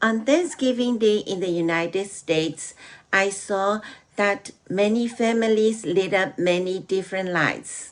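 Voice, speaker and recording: Her voice sits at a medium pitch. The woman talks rather slowly. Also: ordinary pitch variation. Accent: Burmese. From Myanmar. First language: Burmese. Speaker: program guest sharing a holiday story. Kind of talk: prepared talk.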